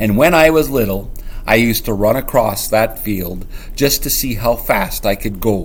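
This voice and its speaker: Growling in a gruff, put-on character voice, a man speaks at a medium pitch and a moderate pace against clear background noise. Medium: read story. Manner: gruff, growling.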